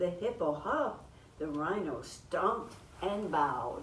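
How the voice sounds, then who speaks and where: Lively intonation from a woman with a fairly low pitch, at a fairly slow pace, over noticeable background noise. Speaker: grandmother reading a picture book aloud. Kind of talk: children's storytime picture book reading.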